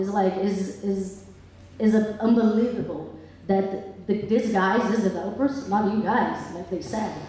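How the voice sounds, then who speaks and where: A woman with a medium pitch speaks at a fairly slow pace and fairly even intonation. Noticeable background noise and audible room echo fill the recording. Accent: Brazilian. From Brazil. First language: Portuguese. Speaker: public commenter at town hearing. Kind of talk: public comment at hearing. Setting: public hall with audience. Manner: impassioned.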